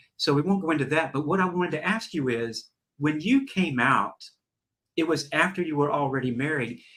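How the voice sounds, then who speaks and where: A fairly high-pitched man with a Southern US accent, fairly quick pace and ordinary pitch variation. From US South. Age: 60s. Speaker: talk show host. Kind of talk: interview conversation. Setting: live stream.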